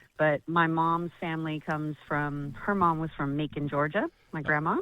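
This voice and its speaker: A woman with an American accent has a very deep, low pitch and a bright, sharp tone, speaking at a moderate pace in monotone, flat intonation. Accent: noticeable American. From US West, Las Vegas. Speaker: singer-songwriter. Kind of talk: live radio phone interview. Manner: casual, friendly.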